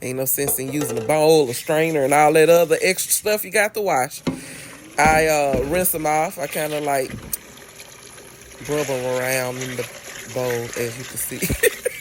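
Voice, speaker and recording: A woman's very deep, low voice with an American accent, at a moderate pace with ordinary pitch variation and big swings in loudness, over noticeable background noise. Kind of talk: casual cooking tutorial. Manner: playful, chatty.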